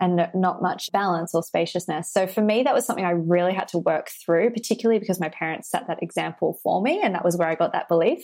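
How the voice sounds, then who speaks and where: Talking at a very fast pace with hardly any pauses, a woman with an Australian accent shows ordinary pitch variation. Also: medium pitch for a woman. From Australia, Sydney. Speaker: business and abundance coach. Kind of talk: interview conversation.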